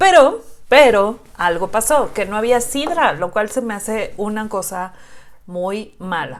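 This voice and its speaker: A woman speaks very slowly in a fairly high pitch, with lively intonation and big swings in loudness. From Xalapa, Veracruz, Mexico. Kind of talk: casual reaction video talk to camera.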